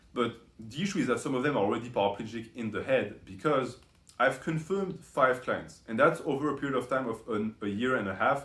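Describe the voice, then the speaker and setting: A man with a non-native accent at a fairly quick pace, his intonation lively. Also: medium pitch for a man. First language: not English. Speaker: YouTube commentator. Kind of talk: commentary video monologue. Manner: frequent fillers and self-corrections.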